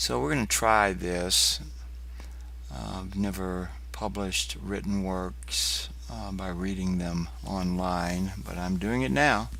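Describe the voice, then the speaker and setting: A man's very deep, low voice with a bright, sharp tone, very wide pitch swings and a very slow pace, plus audible room echo. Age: 60s. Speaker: poet. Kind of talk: casual chat. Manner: halting.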